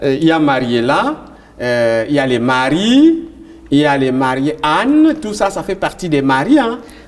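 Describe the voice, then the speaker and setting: A man speaks at a fairly high pitch and a fairly slow pace. His intonation is lively. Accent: Cameroonian. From Cameroon. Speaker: tv host. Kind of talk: interview.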